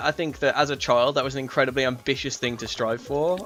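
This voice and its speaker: A man talks at a very fast pace with a fairly high pitch in an English accent. Music plays in the background. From England. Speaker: gaming streamer. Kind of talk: gameplay commentary with casual chat. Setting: live stream. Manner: calm, collected; hesitant, many fillers.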